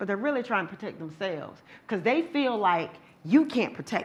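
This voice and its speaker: Her pitch is fairly high, with lively intonation and an animated tone. This woman's voice is bright and sharp. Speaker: domestic violence survivor and advocate speaker. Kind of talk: lecture. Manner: loud.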